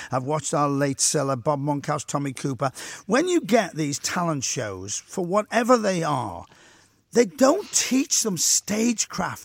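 With a Liverpool accent, a man speaks at a fairly slow pace and a fairly high pitch with very wide pitch swings, the sound dry and close with no echo on a very clean recording with a silent background. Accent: Liverpool (Scouse). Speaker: radio host. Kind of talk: radio interview. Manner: exuberant.

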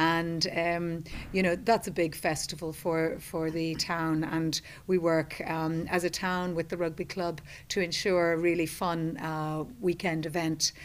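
A woman at a fairly slow pace with monotone, flat intonation. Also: fairly low pitch for a woman, very clean recording, silent background. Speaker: website manager and PR consultant. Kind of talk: casual interview.

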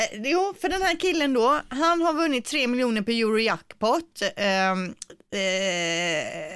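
Very slow and very even in loudness, the voice makes very wide pitch swings in a very clean recording with a silent background. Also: woman, high pitch for a woman. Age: 40s. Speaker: radio morning show host. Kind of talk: casual radio chat. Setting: home studio.

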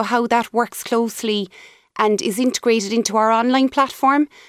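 At a fairly quick pace, a woman with a strong Cork accent and a fairly high pitch speaks with fairly even intonation, the sound dry and close with no echo in a very clean recording with a silent background. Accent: Cork Irish, strong. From Cork, Ireland. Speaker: company CEO. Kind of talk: radio interview, business chat.

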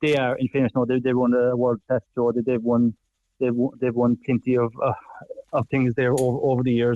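In a Cork accent, a man speaks at a fairly quick pace and medium pitch with a dark, mellow tone, monotone, flat intonation, very even loudness, and a dry, close sound with no echo. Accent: Irish (Cork). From southwest Ireland. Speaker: farmer. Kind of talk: interview. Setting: phone call.

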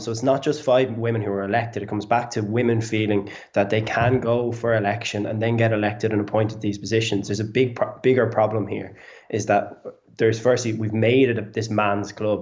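Speaking at a very fast pace, a man with an Irish accent keeps a medium pitch and fairly even intonation. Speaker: tech founder. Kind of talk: panel discussion. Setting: video call. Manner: halting.

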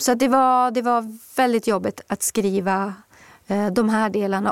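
Recorded with a dry, close sound and no echo, a woman speaks in a normal speaking voice, pitched fairly high, with fairly even intonation. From Swedish Lapland, Kiruna. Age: 50s. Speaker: author. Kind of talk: interview.

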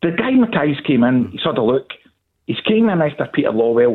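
In a Glaswegian accent, a man speaks at a fairly quick pace with a fairly high pitch and very wide pitch swings. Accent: Glaswegian Scottish. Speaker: football fan caller. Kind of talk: phone-in debate.

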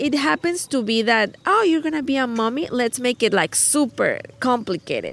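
The speaker has a Spanish accent. Noticeable background noise is present. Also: woman. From Mexico. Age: 30s. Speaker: mother of two. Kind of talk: casual chat. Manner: halting.

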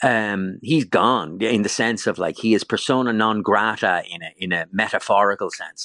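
Speaking at a moderate pace with hardly any pauses, a man with an Irish accent has a fairly low pitch, a bright, sharp tone, ordinary pitch variation and big swings in loudness, in a dry, close recording with no echo. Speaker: travel writer and golf podcaster. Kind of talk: radio interview. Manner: halting.

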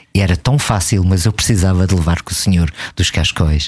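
In a somewhat breathy voice, a man delivers his words at a moderate pace. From Portugal. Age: 50s. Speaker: traveller and photographer. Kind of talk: casual interview. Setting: radio studio.

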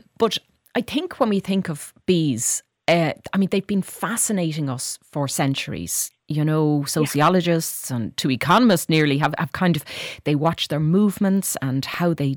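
In an Irish accent, a woman speaks at a very deep, low pitch on a very clean recording with a silent background. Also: dry, close sound with no echo. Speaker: radio host. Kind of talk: radio interview. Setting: radio studio.

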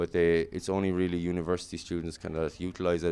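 In a Kilkenny Irish accent, a man speaks with a very deep, low pitch and monotone, flat intonation over a quiet background. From Ireland (Kilkenny). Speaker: volleyball coach. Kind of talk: interview.

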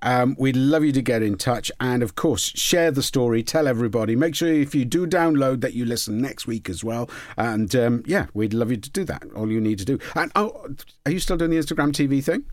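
With a Welsh accent, a man speaks at a medium pitch and a fairly quick pace. His intonation is lively. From Wales, Port Talbot. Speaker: podcast host. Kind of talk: casual chat.

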